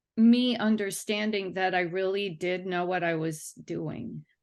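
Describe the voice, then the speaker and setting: Very slow speech with ordinary pitch variation over a quiet background. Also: woman. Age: 60s. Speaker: cellist and music teacher giving a testimonial. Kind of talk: testimonial interview. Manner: halting, with many fillers and restarts.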